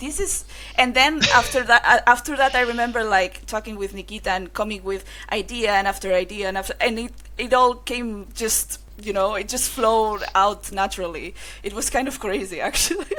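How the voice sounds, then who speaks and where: Speaking fairly quickly in a Spanish accent, a woman has a fairly high pitch and ordinary pitch variation. Her bright, sharp tone carries some vocal fry. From Spain. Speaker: game developer. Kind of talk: casual interview. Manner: halting.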